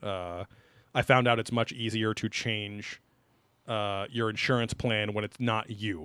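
A man's bright, sharp voice, fairly low in pitch, at a fairly slow pace with fairly even intonation, on a very clean recording with a silent background. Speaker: podcast host. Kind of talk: casual chat, comedic banter. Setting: live-streamed recording.

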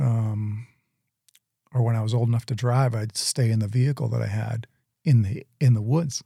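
With long, frequent pauses and fairly even intonation, a man speaks in a dark, mellow, somewhat breathy tone, in a dry, close sound with no echo. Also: medium pitch for a man, moderate pace. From Southern Maine, Portland area. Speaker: gym owner sharing testimony. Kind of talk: testimony.

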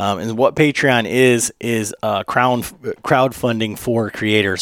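A man speaks in a normal speaking voice at a fairly low pitch. His pace is fairly slow and his intonation fairly even. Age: 40s. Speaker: podcast host. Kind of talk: ad read; casual chat. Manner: many fillers.

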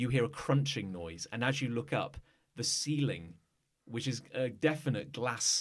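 Over quiet surroundings, someone reads in an unforced voice.

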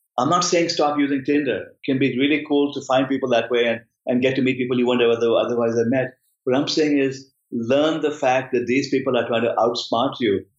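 A man speaks in a normal speaking voice at a medium pitch, talking at a fairly quick pace with very even loudness and fairly even intonation. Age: 50s. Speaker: professor. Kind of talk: interview.

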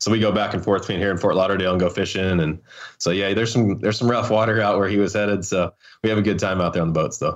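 Against a quiet background, a man with a slight Southern Appalachian accent talks at a very fast pace. His pitch is fairly low, his intonation fairly even, and his loudness very even. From North Carolina. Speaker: off-road racer. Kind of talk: casual interview. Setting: phone call.

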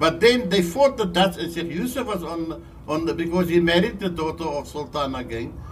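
Audible room echo surrounds a man speaking at a moderate pace. His pitch is fairly high and his intonation lively. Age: 80s+. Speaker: local historian. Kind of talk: storytelling interview. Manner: repetitive, halting.

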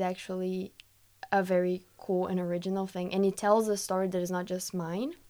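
A woman with a Brazilian accent, medium pitch and moderate pace, in a very clean recording over a silent background. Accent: soft Brazilian Portuguese-accented English. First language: Portuguese. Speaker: linguistics student. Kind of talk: casual chat.

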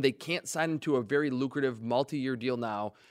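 A man with a plain, everyday voice and ordinary pitch variation is heard in a dry, close, echo-free recording that is very clean, with a silent background. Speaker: football draft analyst. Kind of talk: sports radio talk.

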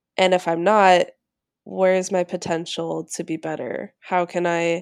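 On a very clean recording with a silent background, a woman speaks at a fairly slow pace. Hers is a normal speaking voice with a fairly low pitch. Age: 20s. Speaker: chef and cooking teacher. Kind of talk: interview.

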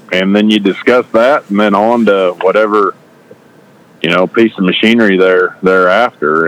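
Noticeable background noise accompanies a man talking at a moderate pace with fairly even intonation. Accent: American. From southeast Nebraska. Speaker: ag equipment salesman.

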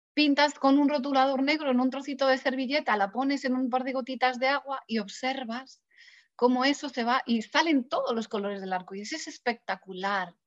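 Speaking at a fairly quick pace, a woman has a high pitch with ordinary pitch variation. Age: 50s. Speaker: personal development author. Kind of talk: interview. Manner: hesitant.

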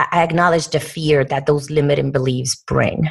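This is a woman speaking with a Puerto Rican accent. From Puerto Rico. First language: Spanish. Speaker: corporate diversity executive. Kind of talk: interview.

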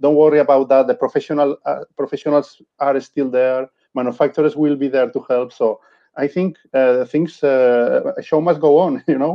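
Ordinary pitch variation runs through this man's speech. His pitch is fairly high. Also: moderate pace. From Spain. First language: Spanish. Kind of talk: casual interview chat. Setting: video call from home. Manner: halting, searching for words.

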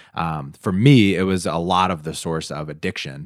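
At a fairly slow pace, a man talks in a very deep, low pitch with ordinary pitch variation. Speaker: podcast co-host. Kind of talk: casual conversational podcast chat.

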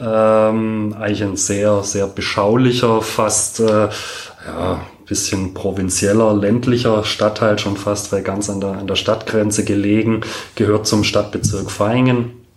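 A man with a fairly low pitch speaks at a very slow pace in a monotone, flat intonation amid noticeable background noise. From Stuttgart, Germany. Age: 40s. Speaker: doctor and former goalkeeper. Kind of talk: interview. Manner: hesitant with many fillers.

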